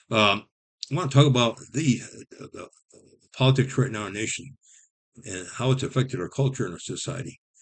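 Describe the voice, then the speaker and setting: A man with a somewhat breathy voice talks at a fairly quick pace with ordinary pitch variation. His loudness swings widely, and he takes long, frequent pauses. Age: 70s. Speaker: YouTuber. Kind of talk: personal monologue vlog. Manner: halting, with many restarts.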